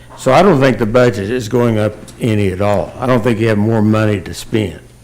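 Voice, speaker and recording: Fairly even in intonation, a man with an American accent speaks at a medium pitch. Background noise is noticeable. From Oklahoma. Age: 70s. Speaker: public commenter. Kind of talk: public comment at city meeting. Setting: city commission meeting room. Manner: halting, many fillers.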